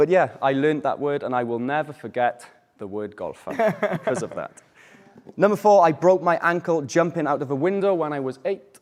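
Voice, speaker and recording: With a Welsh accent, a man speaks at a fairly quick pace, his fairly high pitch carried by lively intonation. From Wales. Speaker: English teacher. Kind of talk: language class.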